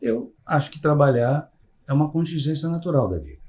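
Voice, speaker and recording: A somewhat breathy male voice. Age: 60s. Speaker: psychologist. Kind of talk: podcast interview. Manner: hesitant, many fillers.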